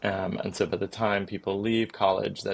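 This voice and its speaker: A man talks at a very fast pace. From United Kingdom. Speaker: clinical psychologist. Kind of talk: podcast interview.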